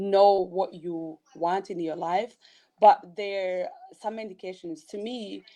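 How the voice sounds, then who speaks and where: Over a quiet background, a woman with a non-native accent speaks in a dark, mellow tone. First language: not English. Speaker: blogger and motivational speaker. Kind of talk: interview.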